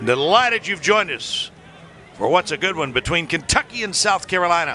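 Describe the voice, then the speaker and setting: At a moderate pace, the speaker uses an upbeat tone with very wide pitch swings over noticeable background noise. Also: man. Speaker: play-by-play commentator. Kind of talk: live sports commentary. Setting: broadcast booth above the field. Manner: self-correcting, upbeat and lively, rising in pitch on big moments.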